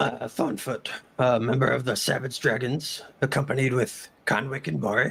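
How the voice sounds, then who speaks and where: Using a raspy, put-on character voice, a man talks at a moderate pace and medium pitch. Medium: actual play.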